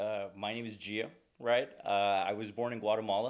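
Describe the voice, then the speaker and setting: His voice is fairly low. A man keeps to a moderate pace. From California. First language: Spanish. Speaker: recruiter. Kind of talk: podcast interview. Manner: chatty.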